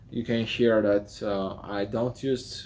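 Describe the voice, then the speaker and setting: A man speaks with a non-native accent in a medium pitch. His pitch varies in an ordinary way. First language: not English. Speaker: architect and video tutor. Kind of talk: talking-head vlog. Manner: halting, with fillers.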